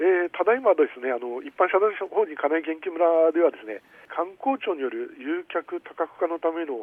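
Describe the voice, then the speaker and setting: A high-pitched man at a moderate pace, with lively intonation and big swings in loudness. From Aomori, Tsugaru (Kanagi). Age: 60s. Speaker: community organization director. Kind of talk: radio interview. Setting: phone call.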